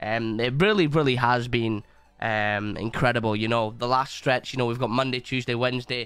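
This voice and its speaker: At a moderate pace and medium pitch, a man speaks with music in the background. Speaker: live streamer. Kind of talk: casual live stream chat. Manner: animated.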